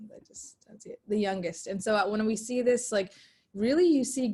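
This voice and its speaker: Somewhat breathy, a woman with fairly high pitch and a dark, mellow tone speaks at a moderate pace with ordinary pitch variation. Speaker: youth ministry facilitator. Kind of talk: webinar discussion.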